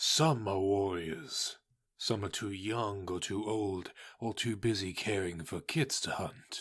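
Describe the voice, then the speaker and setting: Using a put-on character voice at a fairly low pitch, a man speaks at a fairly slow pace in a very clean recording with a silent background. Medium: audio drama. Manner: firm, steady.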